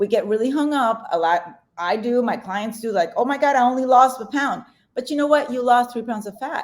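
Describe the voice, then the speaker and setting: Lively intonation and a fairly quick pace mark this voice in a Spanish accent. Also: woman, high pitch for a woman. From Colombia. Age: 40s. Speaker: weight loss coach. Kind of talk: podcast interview. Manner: fast; animated.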